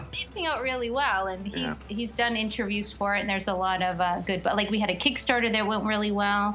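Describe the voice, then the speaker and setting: Over noticeable background noise, a woman talks at a fairly quick pace with hardly any pauses. Her pitch is medium, with ordinary variation. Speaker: comic creator. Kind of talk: casual chat.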